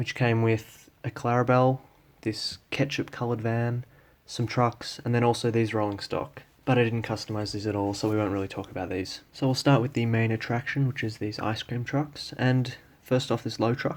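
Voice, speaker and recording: A man with an Australian accent speaks at a moderate pace and medium pitch with fairly even intonation, on a very clean recording with a silent background. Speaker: model train hobbyist. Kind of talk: casual talk to camera. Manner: hesitant.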